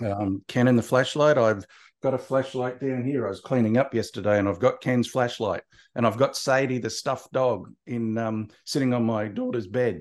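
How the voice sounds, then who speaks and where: At a moderate pace and a medium pitch, a man with an Australian accent speaks with fairly even intonation over a quiet background. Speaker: marketing consultant and author. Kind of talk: casual interview.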